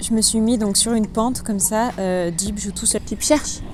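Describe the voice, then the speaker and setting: Fairly even intonation and a moderate speed in an ordinary speaking voice. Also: woman. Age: 20s. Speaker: dog trainer and lifestyle vlogger. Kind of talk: casual vlog. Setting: outdoors.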